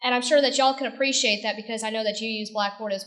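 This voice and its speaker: An American accent, with audible room echo. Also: woman. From northern US. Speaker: e-learning coordinator. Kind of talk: conference presentation. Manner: casual, conversational.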